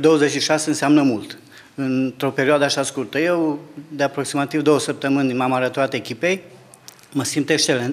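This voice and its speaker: A man talks with fairly even intonation, keeping a moderate pace. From Romania, Zalău (Sălaj, Transylvania); Romania. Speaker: local council candidate, teacher; council candidate, teacher. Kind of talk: interview. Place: office. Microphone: handheld.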